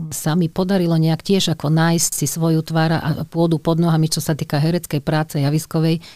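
Her voice has a very deep, low pitch and a dark, mellow tone. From western Slovakia, Skalica area. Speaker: opera singer. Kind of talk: interview.

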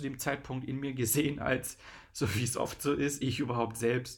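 This voice belongs to a man. He keeps his intonation fairly even. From eastern Germany (Brandenburg / Saxony-Anhalt, Magdeburg area). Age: 30s. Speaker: DJ and podcast host. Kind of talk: casual solo podcast monologue. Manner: hesitant, many filler sounds.

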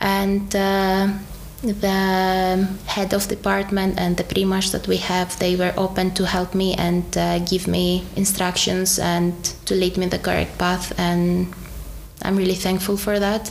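A woman with a Greek accent speaks at a fairly slow pace over noticeable background noise. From Greece. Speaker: dentist and graduate. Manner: halting, with fillers.

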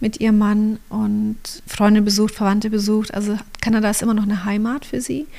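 A woman speaks at a fairly high pitch and a fairly quick pace. Her voice is somewhat breathy, with ordinary pitch variation. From Allgäu, Bavaria, southern Germany. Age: 40s. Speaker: photographer and church co-founder, mother. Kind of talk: casual interview conversation. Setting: home studio.

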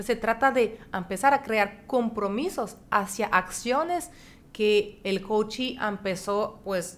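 In a French accent, a woman speaks at a medium pitch. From France. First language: French (speaking Spanish). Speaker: horse-assisted coach and businesswoman. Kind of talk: interview.

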